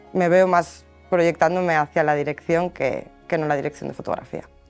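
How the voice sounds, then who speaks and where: Against music in the background, the voice runs in a monotone, flat intonation. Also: woman. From El Bierzo, León, Spain. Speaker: focus puller. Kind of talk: interview answer.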